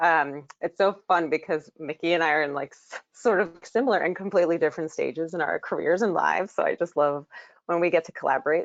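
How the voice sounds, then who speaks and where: A woman speaks with an American accent in a plain, everyday voice. Her pitch is fairly low with ordinary variation, and her pace is fairly quick. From New York City. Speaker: therapist. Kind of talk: webinar presentation.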